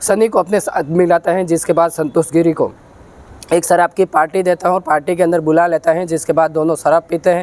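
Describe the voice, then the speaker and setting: The voice moves at a moderate pace with monotone, flat intonation. The sound is dry and close, with no echo. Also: man, high pitch for a man. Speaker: true crime storyteller. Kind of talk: true crime narration.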